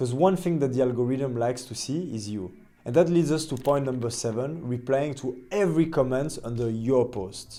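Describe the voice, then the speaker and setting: A man with a non-native accent and a dark, mellow tone, at a fairly quick pace with ordinary pitch variation, with audible room echo. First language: not English. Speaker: agency owner and LinkedIn content creator. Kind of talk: tutorial.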